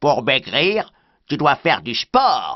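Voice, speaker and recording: A put-on character voice at a middle pitch, delivered at a very slow pace. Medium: read story. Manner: lively, encouraging.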